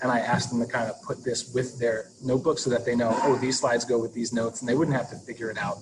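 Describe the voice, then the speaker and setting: Noticeable background noise sits behind a man speaking at a medium pitch in a monotone, flat way. He talks at a very fast pace with hardly any pauses. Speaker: teacher leading staff training. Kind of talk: online training tutorial. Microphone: laptop built-in mic, breaking up.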